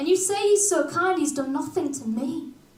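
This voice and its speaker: A Yorkshire accent with ordinary pitch variation, audible room echo and noticeable background noise. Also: woman. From Hull, Yorkshire, northern England. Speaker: performance poet. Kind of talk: casual stage banter; spoken word poetry performance.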